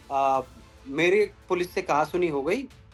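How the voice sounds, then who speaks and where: Over music in the background, a man with a high voice talks at a moderate pace. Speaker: temple devotee, viral video subject. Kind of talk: interview answer.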